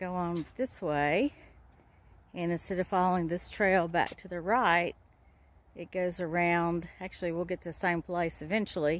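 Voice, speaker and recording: Speaking with a normal speaking voice, a woman keeps a fairly low pitch, fairly even intonation and a moderate pace in a dry sound with no echo. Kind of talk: casual vlog chat. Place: waterside. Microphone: phone near.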